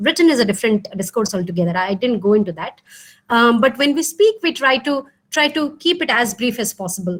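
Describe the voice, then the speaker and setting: With an Odisha accent, a woman speaks in a high pitch with lively intonation. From India (Odisha). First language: Odia. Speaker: professor. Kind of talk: lecture Q&A. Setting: video call. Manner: hesitant, many fillers.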